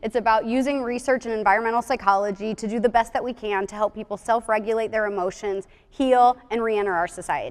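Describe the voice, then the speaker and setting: A woman talks at a very fast pace with hardly any pauses. Her voice is fairly high, with fairly even intonation. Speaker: psychologist. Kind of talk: conference talk.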